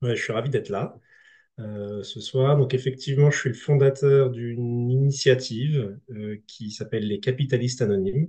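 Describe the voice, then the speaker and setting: Somewhat breathy speech at a moderate pace, with fairly even intonation and big swings in loudness. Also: man, medium pitch for a man. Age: 30s. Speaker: speaker presenting a grassroots movement. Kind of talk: online conference talk; reading aloud his own text. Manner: hesitant, many fillers.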